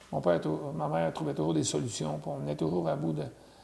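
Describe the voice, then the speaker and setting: A man speaks at a moderate pace. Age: 60s. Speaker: interviewee sharing family history. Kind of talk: oral history interview.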